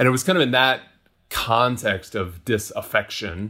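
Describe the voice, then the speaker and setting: With an American accent, a man speaks in a bright, sharp tone on a very clean recording with a silent background. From US, Denver and Austin, Texas. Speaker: nonprofit founder and CEO. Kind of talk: interview conversation.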